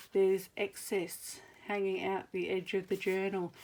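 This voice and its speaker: With an Australian accent, a woman is talking. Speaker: crafter. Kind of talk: tutorial. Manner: casual, hesitant with fillers.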